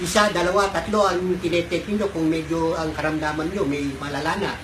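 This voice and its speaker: Over noticeable background noise, a man speaks at a fairly quick pace. His voice is high-pitched and his intonation fairly even. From Pampanga, Philippines. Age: 80s+. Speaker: product testimonial giver. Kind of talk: testimonial talk to camera.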